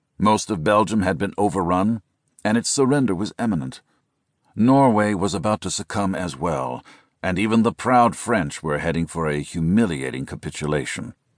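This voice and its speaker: A man speaks in a solemn, dramatic tone at a moderate pace, his pitch fairly low with vocal fry. The sound is dry and close, with no echo. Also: lively intonation, quiet background. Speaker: audiobook narrator. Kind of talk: scripted audiobook narration of military history, dramatic. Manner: grave, solemn, dramatic and measured; formal, steady pace building tension.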